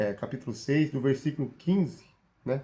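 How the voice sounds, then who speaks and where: This man's voice is dark, mellow and somewhat breathy, at a moderate pace. The recording is very clean, with a silent background. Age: 40s. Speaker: bible teacher. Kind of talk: sermon. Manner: halting.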